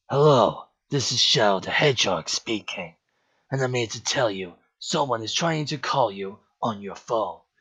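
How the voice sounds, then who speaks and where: Using a cartoonish character voice, a man speaks at a medium pitch and a moderate pace. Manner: cold, stern.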